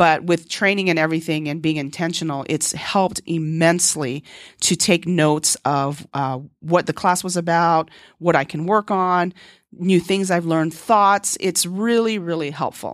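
A woman with an unremarkable speaking voice talks at a moderate pace and fairly low pitch, her intonation fairly even, on a very clean recording with a silent background. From moved from Korea as a child, grew up in US (Texas, Hawaii). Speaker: podcast host, dancer and entrepreneur. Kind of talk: solo podcast monologue.

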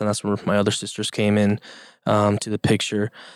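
Delivered very fast, the speech sits in a very clean recording against a silent background. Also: man. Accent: Spanish. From Mexico, Yucatan (Progreso), moved to US at 5-6. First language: Spanish. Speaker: podcast guest. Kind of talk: casual interview. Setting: studio.

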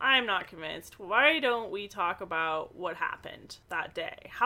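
Lively intonation runs through this reading aloud in a natural voice.

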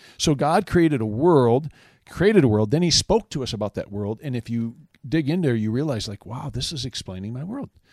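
A man with an American accent talks at a fairly quick pace in a plain, everyday voice at medium pitch, with lively intonation and big swings in loudness, on a very clean recording with a silent background and a dry, close sound with no echo. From northern Michigan. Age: 50s. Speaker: campus minister. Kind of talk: casual chat.

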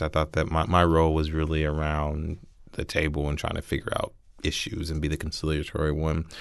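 A man speaks with a Midwestern American accent and a very deep, low pitch. The background is quiet. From Columbus, Ohio. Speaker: city council president. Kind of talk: interview.

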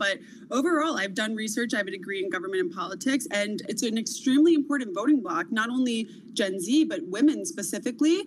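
Through noticeable background noise, a woman talks at a very fast pace with lively intonation. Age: 20s. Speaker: social media commentator. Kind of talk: interview.

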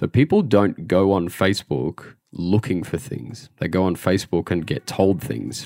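A man with an Australian accent, very deep and low in pitch, dark and mellow in tone with vocal fry, fairly slow with hardly any pauses, very wide pitch swings, and a dry, close sound with no echo. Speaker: digital marketer. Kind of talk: interview answers.

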